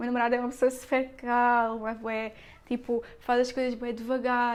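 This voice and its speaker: Fairly quick, high-pitched speech from a woman. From Portugal, Algarve (Lagoa). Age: 20s. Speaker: podcast host. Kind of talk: personal monologue podcast. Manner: fast; animated.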